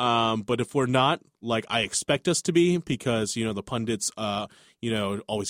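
On a very clean recording with a silent background, a man speaks in a plain, everyday voice at medium pitch and moderate pace, the sound dry and close with no echo. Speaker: sports podcast co-host. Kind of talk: casual sports chat. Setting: studio. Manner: joking, upbeat.

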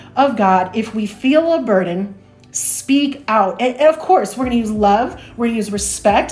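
With a Chicago accent, a woman speaks using lively intonation. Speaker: church planter. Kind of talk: interview conversation.

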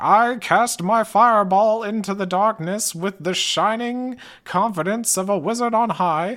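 A put-on character voice at a fairly high pitch, moving at a moderate pace with hardly any pauses. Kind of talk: grand, epic. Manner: dramatic, confident, theatrical.

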